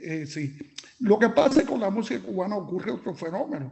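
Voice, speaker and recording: High pitch from a male speaker. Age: 70s. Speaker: musician commenting after a lecture. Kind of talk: Q&A comment. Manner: halting.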